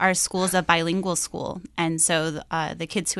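In a Midwestern American accent, a woman speaks at a moderate pace with monotone, flat intonation. Her fairly low voice has a bright, sharp tone. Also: quiet background. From US Midwest, Iowa. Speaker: missionary teacher. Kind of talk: interview. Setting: studio.

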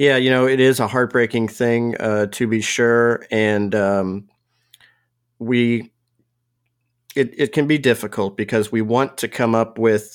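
A man's medium-pitched voice with fairly even intonation at a fairly slow pace, on a very clean recording with a silent background. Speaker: pastor.

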